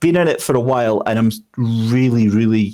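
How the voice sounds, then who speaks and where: With a Scottish accent, a man speaks at a medium pitch in a dark, mellow tone with fairly even intonation. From Scotland. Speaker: sim racing commentator. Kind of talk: interview answer.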